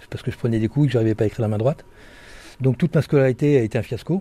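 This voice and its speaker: A man speaks at a medium pitch in a somewhat breathy, dark, mellow tone with ordinary pitch variation, on a very clean recording with a silent background. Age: 60s. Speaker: author and former bank robber. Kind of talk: interview testimony. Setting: prison library.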